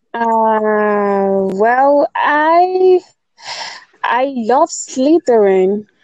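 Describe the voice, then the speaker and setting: At a very slow pace, a woman speaks with a fairly high pitch and very wide pitch swings, in a dry, close sound with no echo. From Nigeria. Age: 20s. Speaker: writer. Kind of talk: casual chat.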